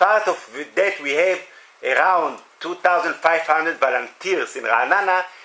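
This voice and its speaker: With an Israeli accent, a man speaks in a high voice over noticeable background noise. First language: Hebrew. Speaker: municipal volunteer coordinator. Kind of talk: workshop discussion. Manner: halting.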